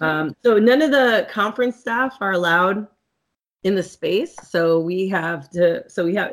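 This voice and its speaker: With an American accent, a woman speaks in an ordinary speaking voice at a medium pitch. Her pace is moderate and her pitch variation ordinary. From California. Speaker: sex therapist and educator. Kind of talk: interview conversation. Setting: video call.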